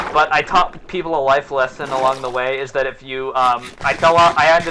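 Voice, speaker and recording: Noticeable background noise behind a man at a fairly quick pace, medium in pitch, with fairly even intonation. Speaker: gaming streamer. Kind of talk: casual gaming chat. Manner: halting.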